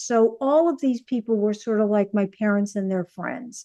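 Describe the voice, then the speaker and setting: In a New York accent, a woman speaks with a dark, mellow tone and ordinary pitch variation. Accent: New York accent, stronger now. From US Northeast, New York City. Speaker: actress and comedian. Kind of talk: casual interview.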